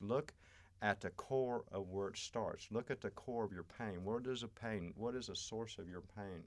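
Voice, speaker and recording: A man has a plain, everyday voice, fairly low in pitch with ordinary pitch variation. He speaks at a moderate pace on a very clean recording with a silent background. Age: 60s. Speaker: astrology and healing guest. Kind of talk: podcast interview.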